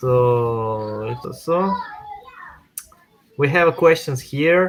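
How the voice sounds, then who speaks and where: With a non-native accent, a man talks in a fairly high pitch for a man, his intonation lively. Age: 30s. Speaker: crypto workshop host. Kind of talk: online workshop tutorial. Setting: live online stream. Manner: halting, many hesitations.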